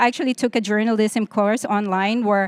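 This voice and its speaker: Speaking at a fairly quick pace, a woman with a non-native accent has a medium-pitched voice. The very clean recording has a silent background and a dry, close sound with no echo. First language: not English. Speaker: tech conference panelist. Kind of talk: panel discussion.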